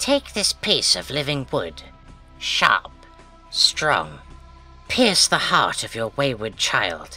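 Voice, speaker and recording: Faint music plays in the background as a put-on character voice speaks at a very slow pace. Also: man, medium pitch for a man. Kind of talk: book reading. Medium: read story.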